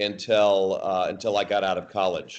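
Here a man speaks slowly, at a fairly low pitch. His intonation is monotone and flat. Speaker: remote podcast guest, actor. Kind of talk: interview answer. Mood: warm, reminiscing. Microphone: video call.

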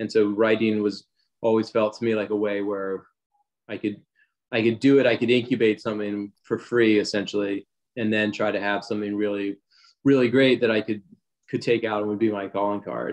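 This man has an American accent and a fairly low pitch. He talks at a fairly quick clip in a flat, monotone way. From US Mid-Atlantic, Wilmington, Delaware. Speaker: screenwriter. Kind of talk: interview.

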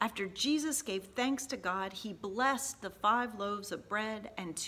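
In plain reading aloud, the speaker's pitch changes in an ordinary way.

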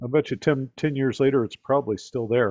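A man at a fairly quick pace, fairly even intonation, and a quiet background. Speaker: guest. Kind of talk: presentation with anecdotes. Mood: relaxed, friendly. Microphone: video call.

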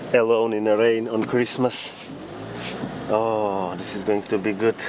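A man at a fairly slow pace, dry sound with no echo, and noticeable background noise. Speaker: comedy vlogger. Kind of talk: casual vlog chat, comedic sketch. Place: car. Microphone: phone near.

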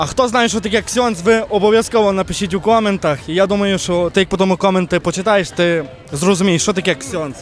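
Music plays in the background. A man speaks at a high pitch. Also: ordinary pitch variation, fairly quick pace. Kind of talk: casual street quiz host.

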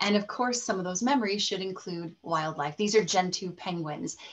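A woman's fairly quick speech with ordinary pitch variation. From Colorado, US. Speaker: presenter. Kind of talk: webinar presentation. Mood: enthusiastic, warm. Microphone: webcam.

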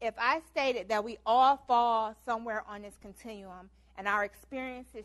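This woman has an unremarkable speaking voice with a fairly high pitch. She talks at a moderate pace. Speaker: lecturer, leadership talk presenter; teaches program evaluation.

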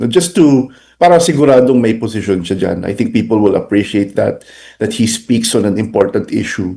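With a dark, mellow tone and lively intonation, this man talks at a medium pitch. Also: moderate pace. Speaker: political analyst. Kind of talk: interview. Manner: halting, with repetitions and fillers.

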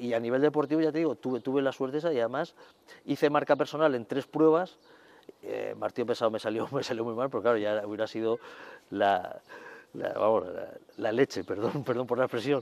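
Speaking at a fairly quick pace, a man keeps a medium pitch with ordinary pitch variation. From Cartagena, Spain. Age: 50s. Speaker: masters athlete, shot putter. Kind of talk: interview. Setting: sports centre. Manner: halting with repetitions. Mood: warm, reminiscing, cheerful. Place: garden. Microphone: lapel.

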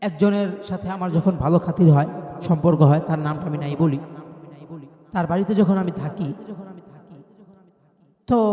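A man speaks in a high pitch, his loudness swinging widely. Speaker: Islamic preacher. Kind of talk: personal testimony. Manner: repetitive.

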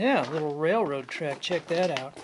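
Speech comes at a fairly slow pace, with noticeable background noise. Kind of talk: casual vlog commentary. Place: tunnel cave. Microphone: phone near.

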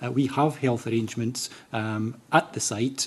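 A man's somewhat breathy voice, its intonation fairly even. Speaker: council housing official giving evidence. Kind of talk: interview answer. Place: meeting room. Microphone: podium.

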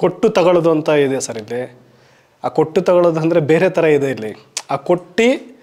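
This man's voice has a dark, mellow tone and sits at a high pitch. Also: quiet background. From Karnataka, Shivamogga district; Karnataka. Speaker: film makeup artist turned actor. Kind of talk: interview monologue. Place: studio. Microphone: lapel.

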